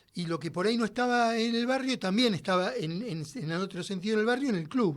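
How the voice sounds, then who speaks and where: A man's voice, with ordinary pitch variation, comes through a very clean recording with a silent background. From Argentina, Buenos Aires west (Padua, Merlo). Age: 60s. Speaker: musician. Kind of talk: interview. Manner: halting, many fillers.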